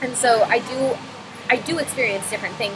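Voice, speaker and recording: Over noticeable background noise, a woman with an American accent talks at a moderate pace in a fairly high pitch. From North Carolina, US South. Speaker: student vlogger. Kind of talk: personal reflection monologue. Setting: coffee shop. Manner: halting, many fillers and repeats.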